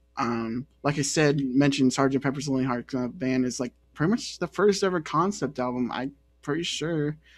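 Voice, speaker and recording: A man's voice sits at a fairly high pitch and varies in pitch in an ordinary way, with music behind him. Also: moderate pace. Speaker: podcast host. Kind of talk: casual chat.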